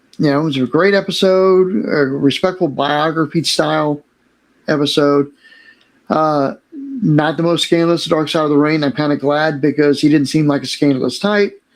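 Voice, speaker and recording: In a plain, everyday voice, a man speaks fairly high at a moderate pace, with ordinary pitch variation and very even loudness. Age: 60s. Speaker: YouTube TV show reviewer and former wrestling manager. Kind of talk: casual video commentary. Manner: conversational, frequent filler words.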